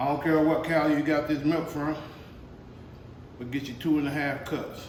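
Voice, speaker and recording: In a room with audible echo and noticeable background noise, a man speaks at a moderate pace with a fairly high pitch and monotone, flat intonation. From US South. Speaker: home cooking youtuber. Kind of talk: cooking tutorial. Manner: casual, folksy.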